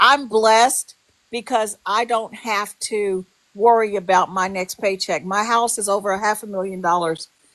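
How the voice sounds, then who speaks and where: Her voice is a plain, everyday voice, pitched in the medium range for a woman. She keeps a moderate pace with fairly even intonation. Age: 60s. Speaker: livestream participant. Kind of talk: heated livestream chat.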